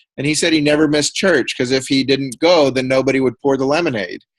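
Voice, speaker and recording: This man's fairly high voice comes through dry and close, with no echo. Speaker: minister leading a webinar. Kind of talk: webinar presentation. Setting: online webinar. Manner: fast; halting, with many fillers.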